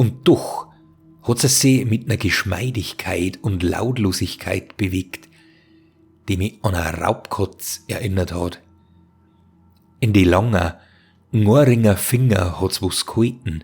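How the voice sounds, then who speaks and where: Over music in the background, a man with a fairly low voice speaks very slowly with ordinary pitch variation and long, frequent pauses. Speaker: storyteller, narrator of horror tales. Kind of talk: horror story narration.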